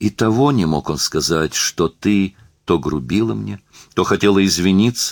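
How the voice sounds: In a natural reading voice, the pitch rises and falls in an ordinary way.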